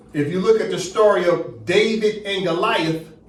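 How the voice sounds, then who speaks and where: A high-pitched man's voice with ordinary pitch variation, audible room echo and noticeable background noise. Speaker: teacher leading a study class. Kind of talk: lecture.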